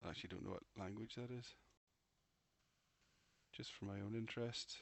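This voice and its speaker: Mumbling, a man speaks at medium pitch with fairly even intonation. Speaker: penetration tester learning security. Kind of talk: casual live hacking walkthrough with thinking aloud. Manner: mumbling, muttering to self.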